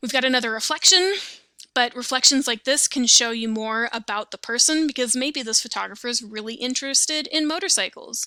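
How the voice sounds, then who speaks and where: Speaking at a fairly quick pace, a woman uses a high pitch and a bright, sharp tone, with ordinary pitch variation. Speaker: teacher. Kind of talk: lecture. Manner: casual, conversational.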